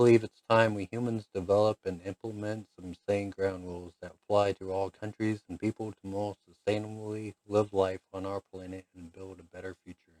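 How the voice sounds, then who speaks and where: A man with an American accent talks at a moderate pace with hardly any pauses, his fairly low voice monotone and flat. The recording is dry and close with no echo, and his loudness swings widely. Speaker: political blogger. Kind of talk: reading aloud; video monologue. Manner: halting.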